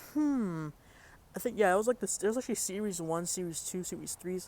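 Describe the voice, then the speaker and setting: Loud and fairly quick, a man talks in a high voice with lively intonation. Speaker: vlogger. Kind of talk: casual vlog. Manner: halting, many fillers.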